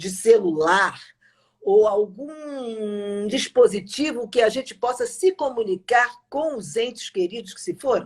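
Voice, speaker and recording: With a normal speaking voice, a woman talks at a fairly slow pace, her fairly high pitch carried by lively intonation. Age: 60s. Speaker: journalist and live-stream host. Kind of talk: casual interview. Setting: live stream.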